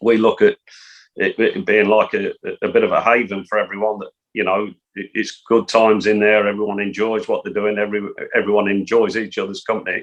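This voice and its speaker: Fairly quick delivery from a male speaker with an English accent. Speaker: football coach. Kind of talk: interview. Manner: soft-spoken.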